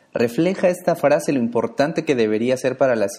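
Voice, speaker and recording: This is a man with a normal speaking voice. He talks at a fairly quick pace. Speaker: podcast host. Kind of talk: announcements; interview. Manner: formal.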